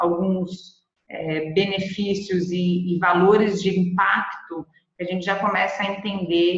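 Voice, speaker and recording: A woman speaks at a medium pitch. Her intonation is monotone and flat, with audible room echo around her. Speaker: presenter from B Corp movement organization. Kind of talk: webinar presentation.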